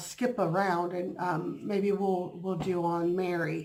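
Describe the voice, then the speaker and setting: A woman at medium pitch with audible room echo. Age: 50s. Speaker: vlogger and bible study leader. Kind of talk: casual vlog chat. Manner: halting, many fillers.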